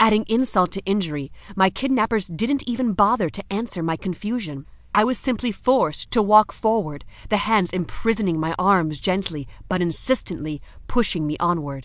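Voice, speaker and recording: A woman speaks in an unremarkable speaking voice at a medium pitch. Her intonation is lively and her pace moderate. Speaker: audiobook narrator. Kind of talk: dramatic first-person audiobook narration of a suspenseful fantasy romance scene. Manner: suspenseful, breathless storytelling that builds tension through the kidnapping.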